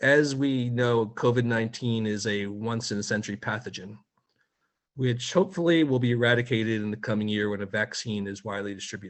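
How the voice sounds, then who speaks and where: In an American accent, a man with an unremarkable speaking voice talks at a moderate pace, medium in pitch with ordinary pitch variation. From United States. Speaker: media watchdog editor. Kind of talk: webinar talk. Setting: video call.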